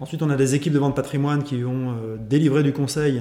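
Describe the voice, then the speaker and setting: A man's fairly high, unremarkable speaking voice at a fairly quick pace. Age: 40s. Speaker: sales executive. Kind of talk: interview.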